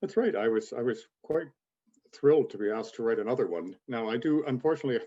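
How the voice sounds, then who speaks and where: A man with a dark, mellow tone talks at a very fast pace, his pitch swinging very widely. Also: medium pitch for a man. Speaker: author and magazine editor. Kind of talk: podcast interview. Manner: quick.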